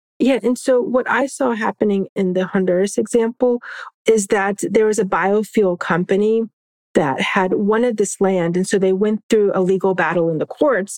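A woman's unremarkable speaking voice with an American accent, medium pitch, ordinary pitch variation and a moderate pace, in a dry, close sound with no echo. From Florida, Orlando area. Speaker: law professor and environmental justice advocate. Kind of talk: interview.

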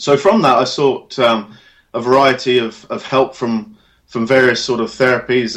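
A man's medium-pitched, ordinary speaking voice at a moderate pace, with ordinary pitch variation. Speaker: hypnotherapist and sports specialist. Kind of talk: interview, casual professional chat.

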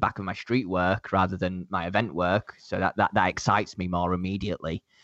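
Delivered at a fairly quick pace, this voice has a Leeds accent and a dry, close sound with no echo. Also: man. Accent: Yorkshire (Leeds) English. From northern England, Leeds. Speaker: event photographer. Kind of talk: casual interview chat. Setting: remote call across time zones.

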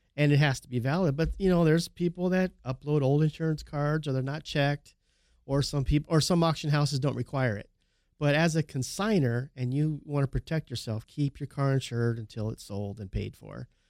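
In a very clean recording with a silent background, a man uses a normal speaking voice at a fairly quick pace with ordinary pitch variation. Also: fairly high pitch for a man. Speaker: car auction and Porsche specialist, recurring co-host. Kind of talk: casual chat. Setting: studio.

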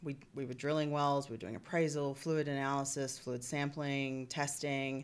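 The woman's voice is very deep and low, with flat, monotone intonation. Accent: Australian. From Australia (Perth). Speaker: reservoir engineer. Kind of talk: podcast interview.

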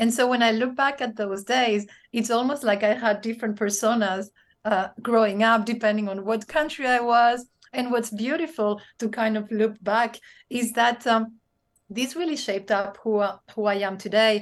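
A woman's fairly high voice in a Spanish accent, at a moderate pace with fairly even intonation, over a quiet background. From Spain, raised across several countries. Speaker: business leader and speaker. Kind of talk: interview conversation. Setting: video call.

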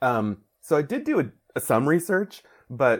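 A man talks with an American accent. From Mexican American, US. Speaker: comic book writer. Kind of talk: interview.

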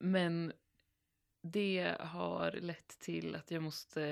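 Recorded very cleanly against a silent background, a woman speaks at a fairly low pitch. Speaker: podcast co-host. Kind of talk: casual chat.

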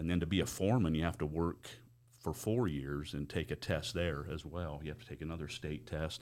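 Very deep and low in pitch, a man with an American accent speaks at a fairly quick pace with ordinary pitch variation on a very clean recording with a silent background. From Utah, Price. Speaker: mine safety manager. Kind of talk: casual interview chat. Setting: podcast studio.

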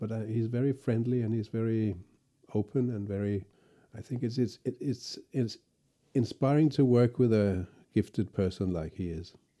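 A man's medium-pitched voice with a Danish accent, a dark, mellow tone and ordinary pitch variation. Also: moderate pace. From Denmark. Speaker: cello professor and orchestral cellist. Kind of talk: interview.

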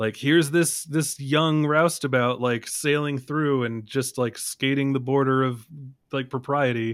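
Fairly slow and fairly even in intonation, a man talks with a fairly high pitch. He has an ordinary speaking voice. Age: 30s. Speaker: film podcaster. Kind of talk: casual chat about films. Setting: remote podcast call.

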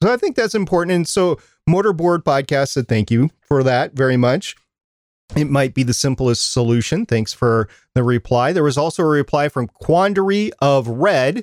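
A man with a plain, everyday voice speaks at a moderate pace in a fairly high pitch, his intonation lively and his loudness very even. The recording is very clean with a silent background, and the sound is dry and close with no echo. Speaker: podcast co-host. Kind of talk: casual chat about podcasting tips.

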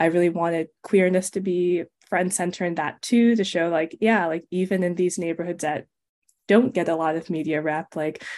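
In an American accent, a woman with an unremarkable speaking voice talks at a moderate pace, her pitch fairly low and her intonation fairly even. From US West Coast, Los Angeles. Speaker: author. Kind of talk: interview.

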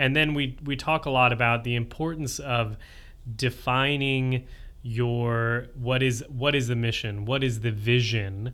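A man with a normal speaking voice talks at a fairly slow pace. His pitch is medium and his intonation fairly even. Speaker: podcast host; occupational therapist. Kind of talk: casual interview conversation.

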